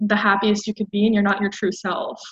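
Somewhat breathy, a woman with an American accent speaks at a fairly high pitch. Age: 20s. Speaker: podcast guest. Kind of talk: casual chat.

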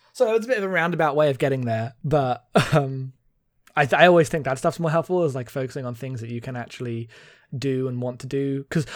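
At a very fast pace, a man talks at a medium pitch with ordinary pitch variation in a very clean recording with a silent background. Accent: British. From Britain. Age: 20s. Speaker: podcast host. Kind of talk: casual chat.

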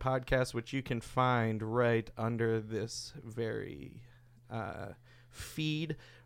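A man speaks at a very slow pace. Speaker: podcast host. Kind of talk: casual chat. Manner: joking.

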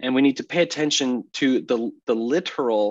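Against a quiet background, an unremarkable speaking voice moves at a moderate pace with ordinary pitch variation. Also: man. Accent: American. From US Northeast (Massachusetts). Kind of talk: podcast interview on theology.

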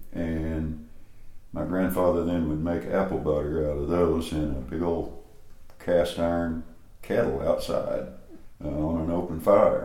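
With a very deep, low pitch, a man speaks fairly slowly in a monotone, flat way, leaving long, frequent pauses. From East Tennessee (Greeneville). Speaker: cookbook author and gardening teacher. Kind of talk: interview. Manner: calm.

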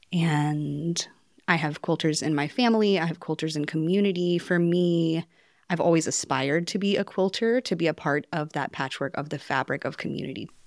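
A woman with a normal speaking voice talks at a fairly quick pace and a fairly low pitch, with an American accent and ordinary pitch variation. The recording is very clean, with a silent background. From North Carolina. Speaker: potter and textile mentee. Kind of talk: group conversation. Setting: quilting studio.

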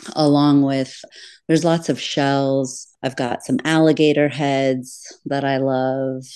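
Speaking with an American accent, a woman uses a very deep, low pitch. Her delivery is very slow and monotone, with flat intonation. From Florida Keys. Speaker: podcaster and treasure hunter guest. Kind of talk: casual interview chat.

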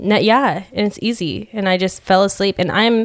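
A woman's plain, everyday voice at a medium pitch and moderate pace, with ordinary pitch variation. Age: 20s. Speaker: hairstylist. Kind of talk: casual chat. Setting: studio.

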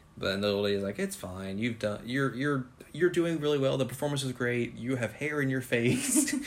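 A man speaks at a medium pitch and a fairly quick pace with lively intonation, over noticeable background noise. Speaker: podcast host. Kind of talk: casual chat.

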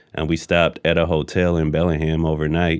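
Monotone, flat intonation marks this man's very deep, low voice. He goes at a fairly quick pace. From moved around: Persian Gulf, Egypt, US. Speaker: rapper. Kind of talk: interview.

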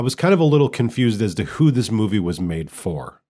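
Fairly quick, lively male speech with a dark, mellow tone, in a very clean recording with a silent background. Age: 30s. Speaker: podcast co-host. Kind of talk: casual chat. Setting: home studio.

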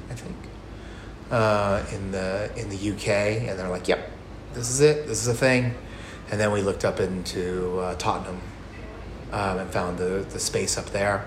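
A man with an American accent and a fairly low pitch speaks slowly with long, frequent pauses and ordinary pitch variation, over noticeable background noise. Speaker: bar owner and brewer. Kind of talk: casual interview chat.

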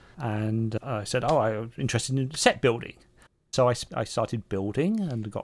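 A man with an English accent speaks at a medium pitch with ordinary pitch variation, in a very clean recording with a silent background. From England. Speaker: astronomer. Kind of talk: interview.

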